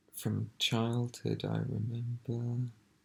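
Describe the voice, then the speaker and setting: The voice is soft-spoken with a gentle tone. It moves at a very slow pace. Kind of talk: ASMR ramble, soft-spoken, part reading from a book, part personal talk to camera. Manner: soft-spoken, quiet, slow, gentle.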